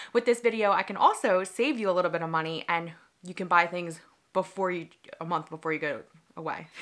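Over a quiet background, a woman with a fairly low pitch talks at a very fast pace, with ordinary pitch variation and big swings in loudness. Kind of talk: casual vlog chat. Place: home room.

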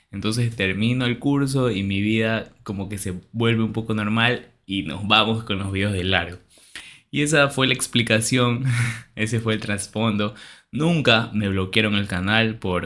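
With a bright, sharp tone, a man speaks fairly slowly at a fairly low pitch. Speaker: youtuber. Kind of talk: casual vlog chat. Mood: cheerful, reassuring. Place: home room. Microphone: studio mic.

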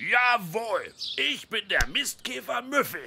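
A cartoonish character voice with a bright, sharp tone and vocal fry moves slowly through big pitch swings over faint background noise.

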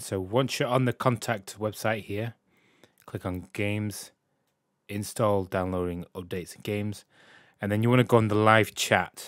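A man with a British accent talks at a fairly low pitch and with fairly even intonation. The recording is very clean with a silent background, and the sound is dry and close with no echo. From UK. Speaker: gaming YouTuber. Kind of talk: tutorial. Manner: casual, slightly halting.

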